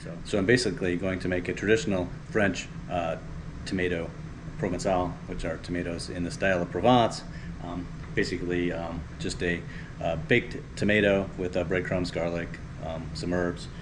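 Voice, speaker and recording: Over noticeable background noise, a man with a very deep, low pitch talks at a moderate pace with ordinary pitch variation and long, frequent pauses. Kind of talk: cooking tutorial chat. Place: kitchen. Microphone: camera far.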